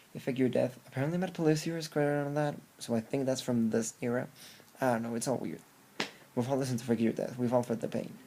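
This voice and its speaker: Very fast and dark, mellow in tone, a man talks at medium pitch with ordinary pitch variation. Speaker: music reviewer. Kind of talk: album review monologue. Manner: animated.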